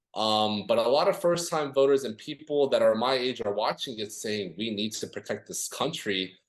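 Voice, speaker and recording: Delivered at a moderate pace with hardly any pauses, an ordinary speaking voice moves through lively intonation. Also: man, medium pitch for a man. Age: 20s. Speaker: political campaign strategist. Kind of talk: podcast interview. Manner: many filler words (um, uh).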